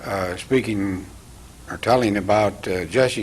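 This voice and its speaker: The speaker has a US Midwestern accent. The pace is fairly slow and the intonation fairly even. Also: man. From eastern Iowa, US Midwest. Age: 80s+. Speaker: TV host. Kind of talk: interview. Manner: halting.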